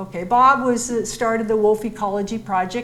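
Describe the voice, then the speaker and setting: There is audible room echo around a woman speaking at medium pitch. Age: 70s. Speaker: wildlife biologist. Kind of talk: public lecture with slides.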